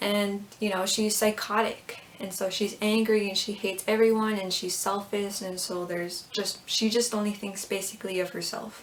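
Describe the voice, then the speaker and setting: Monotone, flat intonation at a moderate pace, with noticeable background noise. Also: woman, medium pitch for a woman. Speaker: YouTuber, fan video maker. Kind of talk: casual vlog commentary.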